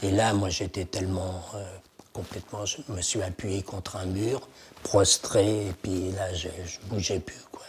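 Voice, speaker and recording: Very deep and low, a man's voice moves at a very slow pace with fairly even intonation. Background noise is noticeable. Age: 80s+. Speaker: Holocaust survivor and antique dealer. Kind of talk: testimony interview. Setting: at his home.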